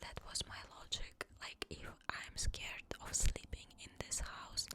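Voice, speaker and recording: Someone whispers at a very slow pace. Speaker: ASMR storyteller. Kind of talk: paranormal story narration, personal childhood anecdotes. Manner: whispered, soft-spoken.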